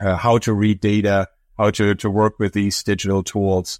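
A man with a German accent speaks at a fairly slow pace and fairly low pitch, the sound dry and close with no echo. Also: very clean recording, silent background. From Germany. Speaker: professor. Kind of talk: interview. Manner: hesitant, frequent fillers and repetitions.

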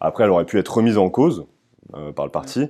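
A man rattles off his words very quickly against a quiet background. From northern France (Amiens, Picardy). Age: 20s. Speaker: political youth leader. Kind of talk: interview. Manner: hesitant, many fillers.

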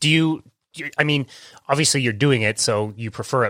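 Recorded very cleanly against a silent background, a man talks in a normal speaking voice at a fairly quick pace. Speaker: podcast host. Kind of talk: casual interview.

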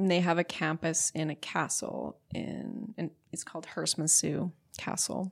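A woman with a western Canadian accent speaks at a very slow pace, the sound dry and close with no echo. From Alberta, Canada (St. Albert, near Edmonton). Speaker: plant medicine explorer, leisure studies graduate. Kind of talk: casual interview conversation. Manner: calm.

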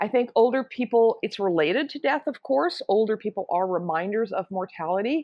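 A woman with a medium-pitched voice talks at a moderate pace in a normal speaking voice. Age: 60s. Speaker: author and anti-ageism activist. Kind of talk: interview. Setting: remote call.

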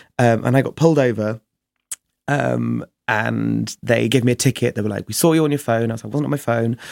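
Recorded dry and close with no echo, a man with a southern English accent speaks at a fairly quick pace. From southern England, Chichester. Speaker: drag performer and DJ. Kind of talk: casual chat.

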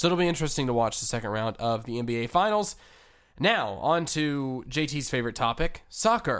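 A plain, everyday voice at a moderate pace on a very clean recording with a silent background. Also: man. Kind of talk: casual sports talk. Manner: conversational, questioning, analytical.

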